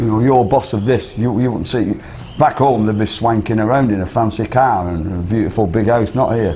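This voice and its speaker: Amid noticeable background noise, a man with a Manchester accent speaks at a fairly quick pace and medium pitch, with ordinary pitch variation. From northern England, Whitefield, Manchester. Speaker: expat interviewee. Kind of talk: casual interview. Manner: halting, repeats words.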